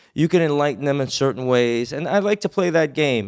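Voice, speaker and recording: A man with an American accent speaks at a fairly quick pace in a fairly high pitch, a plain, everyday voice. The sound is dry and close, with no echo. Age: 30s. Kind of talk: casual chat.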